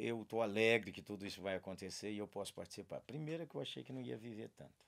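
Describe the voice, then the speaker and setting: This man talks at a fairly quick pace. His pitch is fairly low. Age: 60s. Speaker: pastor. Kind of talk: podcast interview. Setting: studio.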